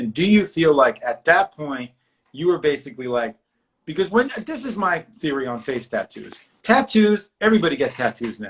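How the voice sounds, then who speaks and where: A man with a New York accent talks at a moderate pace in a fairly high pitch, swinging very widely in pitch. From New York City. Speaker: artist and talk show host. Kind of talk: casual interview chat. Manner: animated.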